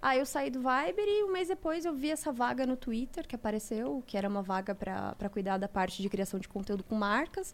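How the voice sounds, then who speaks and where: Hardly pausing at all, a woman talks at a fairly quick pace, her fairly high pitch making very wide swings. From Santa Catarina, Brazil (Mafra). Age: 30s. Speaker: advertising and social media professional. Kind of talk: casual chat.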